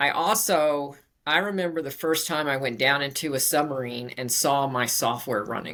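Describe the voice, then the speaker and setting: A woman speaks with an American accent in a very deep, low pitch. Audible room echo surrounds her voice. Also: ordinary pitch variation, moderate pace. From Virginia, US. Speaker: computer science professor. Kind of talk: interview.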